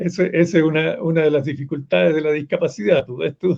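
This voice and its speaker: A man's fairly high-pitched voice with vocal fry, at a moderate pace. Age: 70s. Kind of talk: panel discussion.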